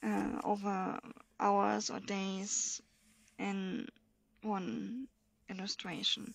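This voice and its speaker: A woman with a German accent at a very slow pace, long, frequent pauses throughout. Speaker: coloring hobbyist video creator. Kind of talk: casual show-and-tell. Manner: halting, with many fillers.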